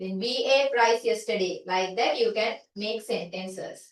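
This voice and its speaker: At a fairly slow pace, a woman with a normal speaking voice talks in a fairly high pitch. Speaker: teacher. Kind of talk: lecture.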